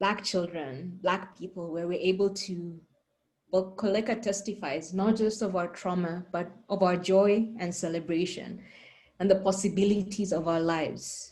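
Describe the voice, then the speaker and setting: Somewhat breathy, a woman speaks at a medium pitch and moderate pace with fairly even intonation. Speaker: panel moderator. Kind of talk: moderated panel discussion.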